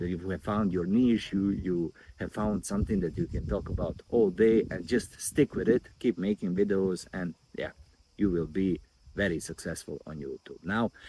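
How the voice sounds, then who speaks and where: With a non-native accent, the speaker has a dark, mellow tone, ordinary pitch variation and a moderate pace in a dry, close sound with no echo. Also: man, fairly low pitch for a man. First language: not English. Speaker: YouTube growth coach. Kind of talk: casual vlog talk to camera. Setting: outdoors by a river.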